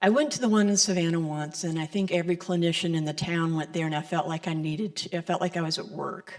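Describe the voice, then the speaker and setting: The speaker has an American accent and fairly even intonation. The pace is very fast, with hardly any pauses. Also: woman, fairly low pitch for a woman. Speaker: licensed Unity teacher giving the Sunday message. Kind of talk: sermon. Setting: church service with congregation. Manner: preacher-like cadence of a Baptist minister.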